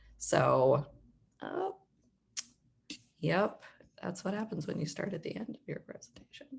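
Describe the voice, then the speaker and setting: She speaks in a Philadelphia accent at a fairly slow pace. Long, frequent pauses break up her speech. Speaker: nonprofit managing director. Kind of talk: presentation on a video call.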